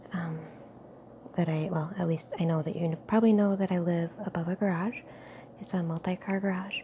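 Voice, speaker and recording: A woman with a fairly low pitch speaks at a fairly quick pace, with fairly even intonation. Her speech has long, frequent pauses over noticeable background noise. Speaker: ASMR youtuber. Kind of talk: casual ramble to camera. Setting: home kitchen nook, tripod camera.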